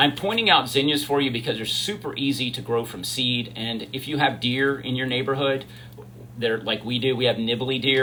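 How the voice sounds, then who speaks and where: Audible room echo and noticeable background noise surround the recording. A man talks at a moderate pace with fairly even intonation. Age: 60s. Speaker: livestreamer, gardening content creator. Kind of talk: casual livestream chat. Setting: live stream video. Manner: chatty, informal.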